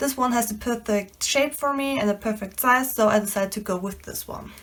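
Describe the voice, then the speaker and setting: A woman talks at a fairly quick pace with a non-native accent. Her pitch is fairly high, with ordinary variation. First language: not English. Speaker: DIY crafter. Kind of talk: tutorial.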